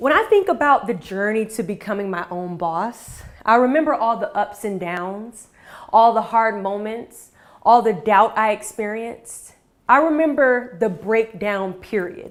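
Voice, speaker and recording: A woman with an ordinary speaking voice talks fairly slowly, her pitch fairly high and its variation ordinary. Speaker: motivational speaker; Army veteran, former Miss USA. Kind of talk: motivational talk to an online audience. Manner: inspiring, direct, confident.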